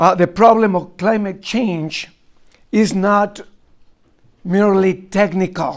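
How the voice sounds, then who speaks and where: A man's high-pitched voice with a Spanish accent, very slow pace, long and frequent pauses, and fairly even intonation. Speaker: archbishop. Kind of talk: lecture. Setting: college talk with students. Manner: halting, with many fillers.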